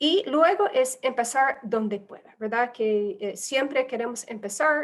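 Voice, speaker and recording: A woman with a non-native accent speaks at a moderate pace. Her pitch is fairly high, with ordinary variation. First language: not Spanish (speaking Spanish). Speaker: humanitarian aid specialist. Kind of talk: webinar presentation. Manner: halting, many fillers.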